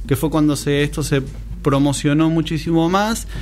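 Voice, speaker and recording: A man speaks at a moderate pace in a fairly high pitch with ordinary pitch variation. Music plays in the background, and room echo is audible. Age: 30s. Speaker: tiktoker. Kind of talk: casual chat.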